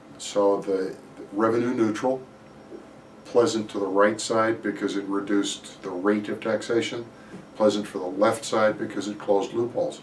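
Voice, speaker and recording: Audible room echo surrounds a man with an American accent who speaks at a moderate pace in a fairly low pitch. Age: 60s. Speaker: mortgage banker. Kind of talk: market commentary. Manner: hesitant, with fillers.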